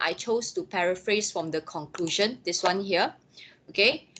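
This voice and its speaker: At a moderate pace comes a plain, everyday voice. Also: woman. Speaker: lecturer. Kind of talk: lecture.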